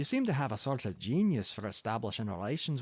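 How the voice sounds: The delivery is a natural reading voice. That is all the clip shows.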